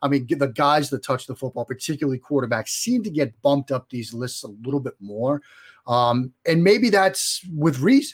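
In a Boston accent, a man talks at a moderate pace with a fairly high pitch and lively intonation, recorded very cleanly against a silent background with a dry, close sound and no echo. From Boston area, US. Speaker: sports journalist guest. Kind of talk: interview.

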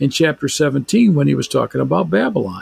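In a dry, close sound with no echo, a man speaks at a moderate pace in a somewhat breathy voice. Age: 60s. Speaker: biblical scholar and author. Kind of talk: casual chat.

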